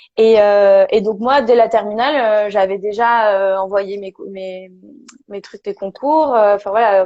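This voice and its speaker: A woman speaks at a moderate pace, her medium pitch rising and falling in an ordinary way. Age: 20s. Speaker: perinatal and parenting support worker, former nurse. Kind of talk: interview testimony. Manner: halting, many fillers.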